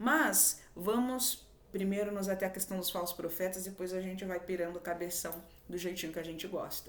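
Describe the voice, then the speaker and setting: A woman's voice at a medium pitch. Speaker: spiritual video host. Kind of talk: spiritual monologue. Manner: halting, stumbles over words.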